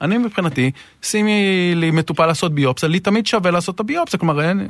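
A man with a high pitch talks at a very fast pace. The background is quiet, and the sound is dry and close with no echo. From northern Israel. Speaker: urologist, hospital unit director. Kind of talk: interview.

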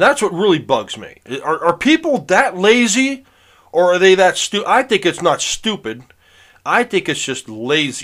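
Here a man speaks at a high pitch with very wide pitch swings. His pace is moderate, and the recording is very clean with a silent background. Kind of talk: angry rant. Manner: indignant, exasperated, complaining; rambling, repetitive, stop-start.

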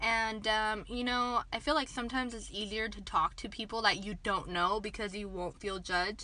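Here a woman speaks at a moderate pace with fairly even intonation. Her tone is bright and sharp. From Kansas, US (Dodge City). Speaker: podcast co-host. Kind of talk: casual chat. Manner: giggly, laughs often.

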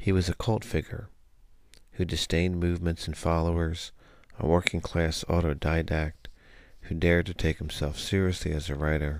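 A man speaks at a very deep, low pitch with monotone, flat intonation and a moderate pace. The recording is very clean, with a silent background. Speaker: podcast host. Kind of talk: poem reading, read aloud from a script. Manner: formal, even, reflective.

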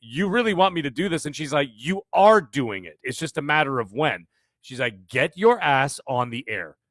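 This is a normal speaking voice at a moderate pace. The recording is very clean with a silent background and a dry, close sound with no echo. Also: man. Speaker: podcast guest and comedian. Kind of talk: casual chat. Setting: livestream.

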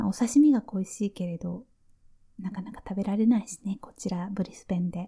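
A woman speaks at a moderate pace and medium pitch in a relaxed, gentle, dark, mellow tone, somewhat breathy, on a very clean recording with a silent background. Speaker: nurse and podcast host. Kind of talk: casual listener Q&A monologue. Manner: relaxed and gentle.

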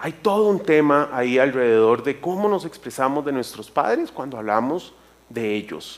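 With lively intonation, a man speaks at a moderate pace. His pitch is fairly high. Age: 50s. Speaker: church speaker. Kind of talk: sermon. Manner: halting.

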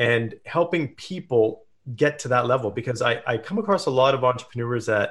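Against a quiet background, a man with a Canadian accent speaks at a medium pitch with ordinary variation and a somewhat breathy quality. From Canada, small town in British Columbia. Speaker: entrepreneur and performance coach. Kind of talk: interview.

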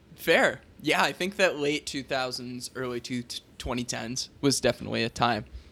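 With a bright, sharp tone and vocal fry, a man speaks at a medium pitch with ordinary pitch variation. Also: moderate pace. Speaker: podcast host, teacher. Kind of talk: casual chat.

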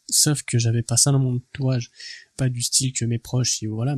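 A man speaks at a moderate pace and a medium pitch, somewhat breathy, with a dark, mellow tone and flat, monotone intonation, in a dry, close recording with no echo and a quiet background. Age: 20s. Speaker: entrepreneurship podcaster. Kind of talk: motivational monologue. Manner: casual, hesitant with repetitions.

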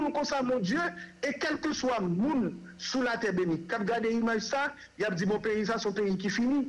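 A man with a Haitian accent, extremely high in pitch with ordinary pitch variation, very slow with long, frequent pauses and very even loudness, amid noticeable background noise and audible room echo. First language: Haitian Creole (speaking French). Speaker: human rights organization director. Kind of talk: radio interview.

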